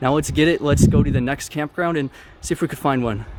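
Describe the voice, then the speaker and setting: A man talking at a fairly quick pace against noticeable background noise. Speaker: travel vlogger. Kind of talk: vlog narration while traveling. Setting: outdoors. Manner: casual; loud.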